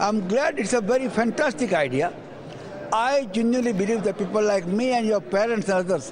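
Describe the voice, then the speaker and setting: A man speaks fairly quickly in a high voice, with noticeable background noise behind him. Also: lively intonation, very even loudness. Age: 70s. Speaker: community leader. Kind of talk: interview. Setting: property exhibition hall.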